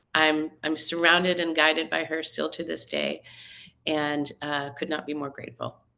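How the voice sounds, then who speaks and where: In a flat, monotone delivery, a woman with an American accent speaks at a very deep, low pitch. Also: moderate pace. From northern US. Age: 60s. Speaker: magazine editor. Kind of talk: podcast interview.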